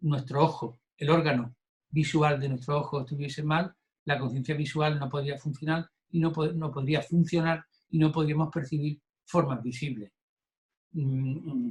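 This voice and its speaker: With fairly even intonation, a man speaks in a somewhat breathy voice at a fairly high pitch. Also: fairly slow pace. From Andalusia, southern Spain. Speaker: Buddhism course teacher. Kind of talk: lecture. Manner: halting, with fillers and repetitions.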